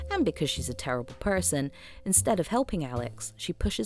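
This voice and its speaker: Full of vocal fry, a woman with a very deep, low pitch speaks at a fairly quick pace. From Scotland. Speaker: film video essayist. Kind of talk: scripted narration.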